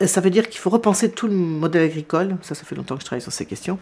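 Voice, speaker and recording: At a very fast pace, a woman speaks with a fairly low pitch and ordinary pitch variation, captured in a very clean recording with a silent background. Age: 60s. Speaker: documentary filmmaker and journalist. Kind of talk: interview. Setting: her living room.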